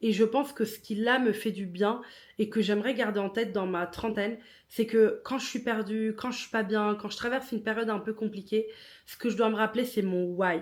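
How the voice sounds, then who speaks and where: Speaking with a non-native accent, a woman with a fairly high pitch moves at a fairly quick pace. Her intonation is fairly even, on a very clean recording with a silent background. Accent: non-native French speaker. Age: 30s. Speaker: podcast host. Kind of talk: casual monologue.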